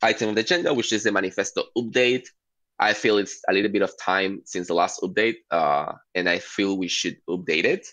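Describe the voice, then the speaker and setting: A man talks at a fairly quick pace with a non-native accent. His medium-pitched voice has a bright, sharp tone and lively intonation. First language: not English. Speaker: working group steward, meeting facilitator. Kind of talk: online work meeting. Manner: halting, many fillers.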